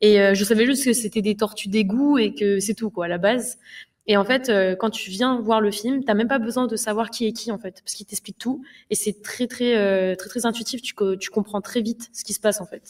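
A woman with a normal speaking voice, fairly high in pitch, fairly quick in pace, with fairly even intonation and big swings in loudness, against a quiet background. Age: 20s. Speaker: streamer. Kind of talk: casual film discussion. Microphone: studio mic.

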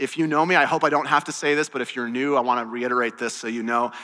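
A man is speaking. His pace is very fast. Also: quiet background. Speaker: pastor. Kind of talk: sermon. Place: church. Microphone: headset.

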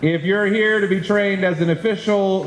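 A man at a moderate pace, with light background noise and audible room echo. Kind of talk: public meeting address. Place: classroom. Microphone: handheld.

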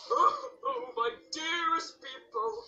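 This put-on character voice sits at an extremely high pitch and makes very wide pitch swings. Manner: dramatic, odd.

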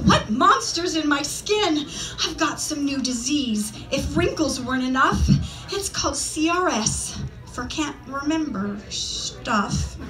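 Faint music plays behind a woman talking at a very slow pace in a high pitch. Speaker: poet. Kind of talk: spoken word poetry reading. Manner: light-hearted, humorous. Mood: light-hearted, humorous. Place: stage.

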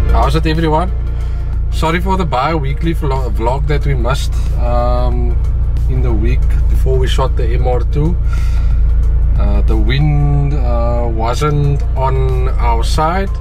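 Against clear music in the background, a man speaks very slowly at a very deep, low pitch, monotone and flat, with very even loudness and long, frequent pauses. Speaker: car vlogger. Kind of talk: casual vlog chat. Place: car. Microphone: phone near.

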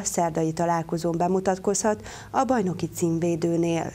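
At a moderate pace, a woman speaks with a dark, mellow tone. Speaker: news anchor. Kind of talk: TV news reading. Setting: studio. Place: studio. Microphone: lapel.

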